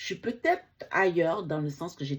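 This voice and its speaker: The woman's voice is somewhat breathy, with ordinary pitch variation. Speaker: book reviewer. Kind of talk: casual book vlog. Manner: halting.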